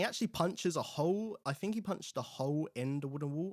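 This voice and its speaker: A man talks fairly quickly with lively intonation in a very clean recording with a silent background. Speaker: film reviewer host. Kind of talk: casual film review talk. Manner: casual, hesitant with fillers.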